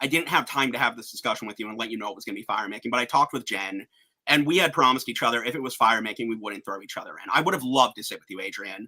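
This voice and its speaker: Talking at a very fast pace, a man uses a bright, sharp tone, ordinary pitch variation and big swings in loudness. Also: medium pitch for a man. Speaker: online game finalist. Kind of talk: casual chat.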